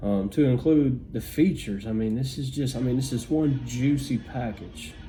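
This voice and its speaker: Moderate pace from a man, medium pitch and ordinary pitch variation. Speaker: tech reviewer. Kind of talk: product unboxing review. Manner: halting with many fillers.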